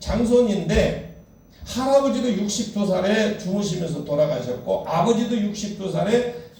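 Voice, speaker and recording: With noticeable background noise and audible room echo, a high-pitched man speaks at a moderate pace with ordinary pitch variation. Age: 60s. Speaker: pastor. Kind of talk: sermon.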